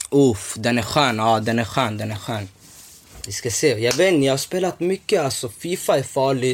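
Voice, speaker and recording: Noticeable background noise sits behind a man whose medium-pitched voice has lively intonation. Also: moderate pace. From Somalia (north), moved to Sweden as a child. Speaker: podcast host. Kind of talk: casual chat. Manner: animated.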